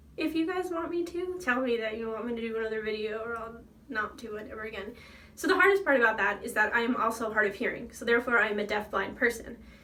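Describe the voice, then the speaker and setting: In an American accent, a woman speaks fairly quickly at a high pitch with lively intonation and a bright, sharp tone, with audible room echo. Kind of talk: casual vlog monologue. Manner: animated.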